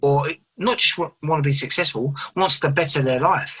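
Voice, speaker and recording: Speaking at a fairly quick pace with an East London accent, a man has a bright, sharp tone and a fairly high pitch. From England, East London. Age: 30s. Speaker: professional boxer. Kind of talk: casual interview.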